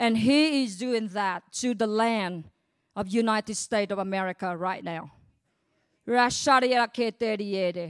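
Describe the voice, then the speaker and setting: In a Vietnamese accent, a woman speaks at a fairly high pitch. The recording is very clean, its background silent. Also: ordinary pitch variation. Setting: church.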